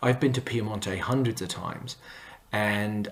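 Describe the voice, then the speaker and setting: Against noticeable background noise, a man talks at a moderate pace in a fairly low voice with fairly even intonation. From Canada. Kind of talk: talk to camera. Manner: hesitant with fillers.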